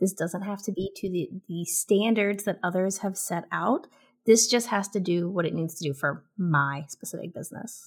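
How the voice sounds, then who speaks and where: A woman at medium pitch, somewhat breathy, with ordinary pitch variation and a moderate pace, on a very clean recording with a silent background. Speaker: content marketing strategist and author. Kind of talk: casual interview chat.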